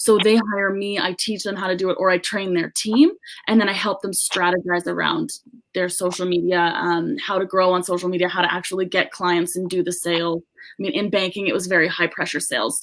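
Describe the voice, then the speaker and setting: At a fairly quick pace, a woman with a Canadian accent speaks in a plain, everyday voice at medium pitch with ordinary pitch variation. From Canada, British Columbia. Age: 20s. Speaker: social media business owner. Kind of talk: podcast interview. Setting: podcast interview.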